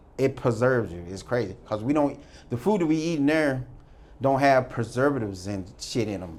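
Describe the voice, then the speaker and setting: In an American accent, a man with a medium pitch and an ordinary speaking voice talks at a moderate pace with lively intonation. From US Midwest, St. Louis. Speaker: former prisoner. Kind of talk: interview storytelling.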